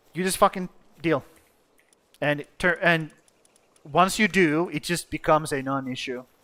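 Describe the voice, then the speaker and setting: A man with a Finnish accent, bright, sharp tone, ordinary pitch variation, moderate pace, and long, frequent pauses. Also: fairly high pitch for a man. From Finland. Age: 30s. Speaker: gaming streamer. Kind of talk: live stream commentary.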